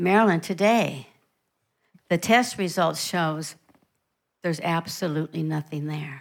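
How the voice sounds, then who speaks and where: A woman with a fairly low pitch and a warm tone speaks with ordinary pitch variation and long, frequent pauses, in a very clean recording with a silent background. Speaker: visiting preacher. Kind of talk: sermon, preached in English with line-by-line German interpretation. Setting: church with interpreter. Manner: warm, fervent, encouraging; paced in short phrases for the interpreter.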